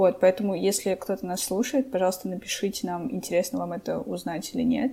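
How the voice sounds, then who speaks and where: A woman talks in a normal speaking voice at a medium pitch. Her pace is moderate, and her pitch variation is ordinary. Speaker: podcast co-host. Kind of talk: casual chat.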